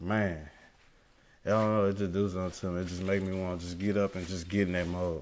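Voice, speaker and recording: With audible room echo, a man with a very deep, low pitch talks at a very fast pace in monotone, flat intonation. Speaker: amateur rapper. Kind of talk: interview. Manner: halting.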